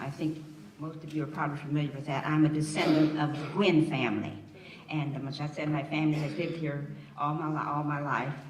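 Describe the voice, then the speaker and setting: A woman with an American accent and a very deep, low pitch, with audible room echo and noticeable background noise. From Yellow Springs, Ohio, US Midwest. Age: 80s+. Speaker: community elder panelist. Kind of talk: panel storytelling.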